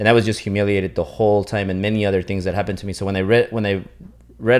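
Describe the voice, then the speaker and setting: A man with a Spanish accent, fairly low-pitched, at a very fast pace, with fairly even intonation, on a very clean recording over a silent background. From US, Mexican-American family. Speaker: interviewer, entrepreneur. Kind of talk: interview. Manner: halting, many fillers and restarts.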